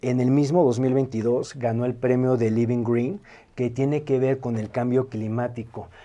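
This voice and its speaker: Medium-pitched male voice, dark and mellow in tone, fairly slow pace and fairly even intonation. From Mexico City. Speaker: video artist. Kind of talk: casual chat.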